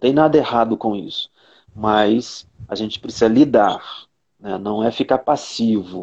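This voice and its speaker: A man with a medium pitch and ordinary pitch variation speaks at a fairly slow pace, leaving long, frequent pauses, his loudness swinging widely. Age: 50s. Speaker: psychologist. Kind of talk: casual chat. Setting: video call.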